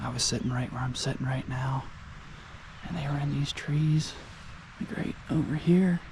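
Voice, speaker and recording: Over noticeable background noise, a man talks at a moderate pace and fairly high pitch with ordinary pitch variation and long, frequent pauses. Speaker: hunter and vlogger. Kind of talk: casual vlog narration. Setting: outdoors. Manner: soft-spoken.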